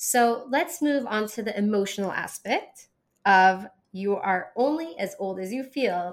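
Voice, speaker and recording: Fairly high pitch and normal pitch movement in a woman's ordinary speaking voice. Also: very clean recording, silent background. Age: 40s. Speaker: podcast host and holistic nutrition practitioner. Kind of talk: solo monologue podcast.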